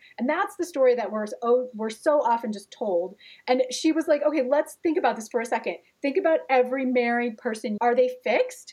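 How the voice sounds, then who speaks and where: Here a woman speaks at a fairly quick pace in an American accent. Her high voice has lively intonation. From US Midwest (Gary, Indiana). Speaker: author and TV writer. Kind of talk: casual chat.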